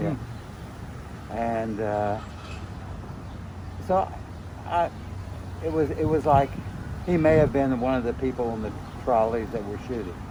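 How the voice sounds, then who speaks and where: Over noticeable background noise, the speaker talks at a fairly slow pace with lively intonation and long, frequent pauses. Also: man, medium pitch for a man. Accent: American. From Tulsa, Oklahoma. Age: 70s. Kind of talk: interview answer. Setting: outdoors.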